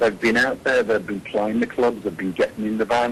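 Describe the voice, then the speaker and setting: A man does the talking here. Behind him there is noticeable background noise. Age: 60s. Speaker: heavy metal singer. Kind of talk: interview answer.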